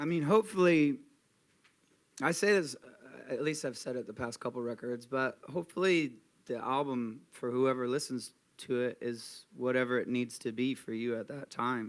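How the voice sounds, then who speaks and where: In an unremarkable speaking voice, a man talks at a moderate pace with medium pitch and ordinary pitch variation. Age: 30s. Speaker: rock band frontman. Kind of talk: live interview.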